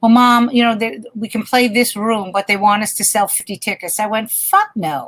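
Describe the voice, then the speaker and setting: A woman with an ordinary speaking voice talks at a moderate pace with hardly any pauses, using a fairly high pitch and ordinary pitch variation. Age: 60s. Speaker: stand-up comedian. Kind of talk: casual chat.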